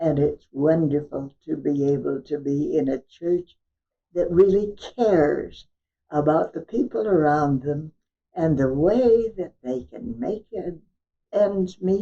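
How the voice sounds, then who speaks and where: A woman's very deep, low voice, dark and mellow, at a very slow pace with lively intonation. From California. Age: 80s+. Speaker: church member, honorary stewardship chair. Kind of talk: interview. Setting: at home.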